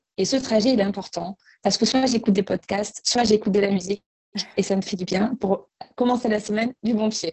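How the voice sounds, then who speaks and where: A somewhat breathy woman's voice at a moderate pace. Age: 30s. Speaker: bank employee and breast cancer awareness organizer. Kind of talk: interview testimony.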